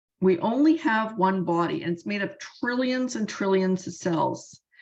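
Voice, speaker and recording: The background is quiet as a woman speaks at a moderate pace. Her pitch swings very widely. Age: 60s. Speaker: supplement company sales affiliate. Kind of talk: sales pitch.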